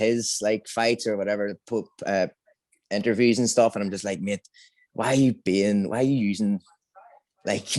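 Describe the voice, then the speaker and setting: A man with a Northern Irish accent talks at a fairly quick pace and fairly even intonation, in a dry, close sound with no echo and a quiet background. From Northern Ireland. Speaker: amateur MMA fighter. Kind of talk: interview. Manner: halting, repetitive.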